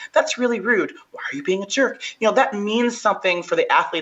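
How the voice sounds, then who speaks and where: Over noticeable background noise, a woman speaks in an animated tone at a very fast pace. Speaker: strongwoman athlete. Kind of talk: podcast interview.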